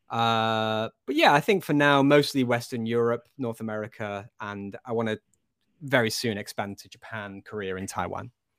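A man with a Lancashire accent speaks at a moderate pace and medium pitch, his intonation fairly even but his loudness swinging a lot. The recording is very clean and dry, close with no echo and a silent background. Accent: Lancashire northern English. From Blackpool, northwest England. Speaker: video game studio executive. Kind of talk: casual interview chat. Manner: relaxed, chatty, laughs often.

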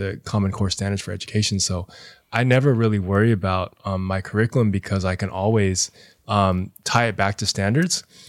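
This man has a plain, everyday voice with fairly low pitch and fairly even intonation at a moderate pace. The recording is very clean, with a silent background. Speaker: high school teacher and DJ. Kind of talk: casual chat.

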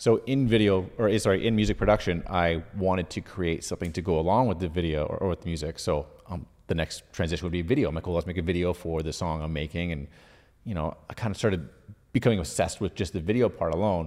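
Speaking very fast with a Canadian accent, a man uses a very deep, low pitch and ordinary pitch variation, captured in a very clean recording with a silent background. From Ottawa, Canada. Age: 40s. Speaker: video creator. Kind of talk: casual interview chat. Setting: studio.

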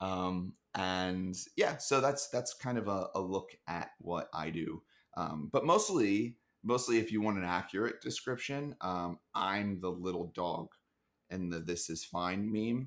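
This man has an ordinary speaking voice with an American accent, fairly low in pitch and delivered at a fairly slow pace. His pitch varies in an ordinary way, and the recording is very clean with a silent background. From US Northeast, Philadelphia. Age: 20s. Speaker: startup marketer. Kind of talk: casual chat.

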